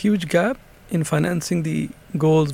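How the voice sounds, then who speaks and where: Male speech, somewhat breathy, its pitch variation ordinary. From Pakistan. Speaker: senior UN economic official. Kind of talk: interview.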